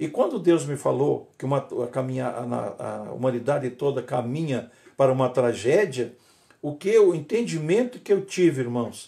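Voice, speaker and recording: A man speaks at a moderate pace with a fairly high pitch and lively intonation. His tone is dark and mellow, with vocal fry. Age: 70s. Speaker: pastor. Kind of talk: sermon. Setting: livestream. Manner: halting.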